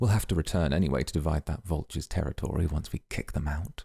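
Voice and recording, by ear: In a put-on character voice, a man speaks at a fast pace with an extremely low pitch, a dark, mellow tone, a husky, rough edge and vocal fry, showing ordinary pitch variation on a very clean recording with a silent background.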